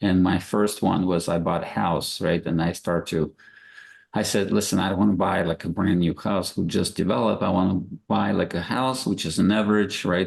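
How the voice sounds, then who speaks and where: Against a quiet background, a man with a Russian accent speaks at a moderate pace in a very deep, low voice with vocal fry and ordinary pitch variation. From Russia, Moscow. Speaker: real estate investor. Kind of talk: podcast interview.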